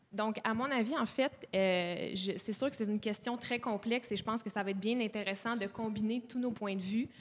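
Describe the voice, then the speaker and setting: An unremarkable speaking voice from a woman, fairly high in pitch, with fairly even intonation at a moderate pace. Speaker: nutritionist and graduate student; panelist. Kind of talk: panel discussion. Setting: live panel at a community centre. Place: hall. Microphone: handheld.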